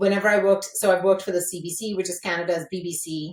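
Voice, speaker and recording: Animated in tone, a woman speaks at a very fast pace. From India, Mumbai. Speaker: entrepreneur, former journalist. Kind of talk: podcast interview.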